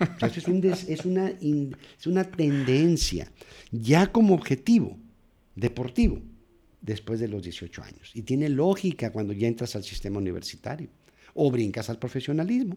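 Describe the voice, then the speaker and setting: A somewhat breathy man's voice, fairly high-pitched yet dark and mellow in tone, with very wide pitch swings, big swings in loudness and a moderate pace. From Mexico, Nogales, Sonora. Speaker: sports psychologist. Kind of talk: interview.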